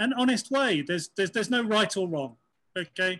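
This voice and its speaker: A man with a British accent has a bright, sharp tone, captured in a very clean recording with a silent background. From UK. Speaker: transgender consultant and producer. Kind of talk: interview.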